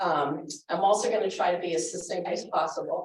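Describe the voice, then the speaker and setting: This woman speaks at a moderate pace. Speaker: finance committee chair. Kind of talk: town hall presentation. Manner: loud.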